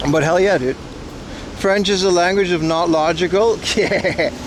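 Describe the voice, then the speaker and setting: A man talks at a fairly slow pace with a high pitch, an animated tone and ordinary pitch variation. Noticeable background noise runs behind him. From Aruba. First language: Papiamento and Dutch. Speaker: livestreamer. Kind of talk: casual chat reading live chat. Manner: loud.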